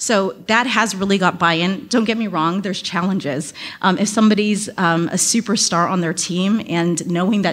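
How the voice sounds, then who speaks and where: A woman talks at a moderate pace and medium pitch with ordinary pitch variation. It is an ordinary speaking voice. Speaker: talent acquisition advisor, audience member. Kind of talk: audience Q&A comment. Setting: speaking at a microphone in conference room.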